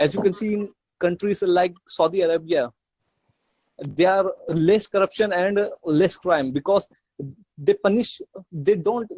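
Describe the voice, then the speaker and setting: A man speaks with a non-native accent and ordinary pitch variation. The sound is dry and close, with no echo. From India. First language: not English. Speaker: podcast guest. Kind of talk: interview. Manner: halting.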